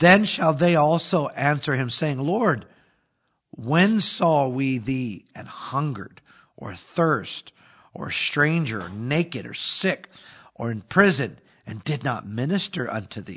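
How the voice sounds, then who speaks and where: A man's fairly high voice at a very slow pace, with very wide pitch swings and big swings in loudness. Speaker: pastor. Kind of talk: casual religious podcast discussion. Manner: conversational, uses fillers.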